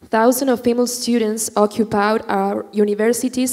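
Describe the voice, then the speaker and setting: Noticeable background noise accompanies a woman with a Chilean accent. She talks at a moderate pace in a fairly high pitch with monotone, flat intonation. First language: Spanish. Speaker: student activist. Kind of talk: prepared speech. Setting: stage with audience.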